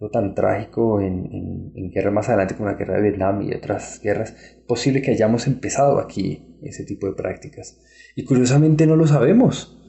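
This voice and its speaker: Barely pausing, a somewhat breathy man speaks with ordinary pitch variation. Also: medium pitch for a man, moderate pace. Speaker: historian. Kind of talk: interview. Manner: halting.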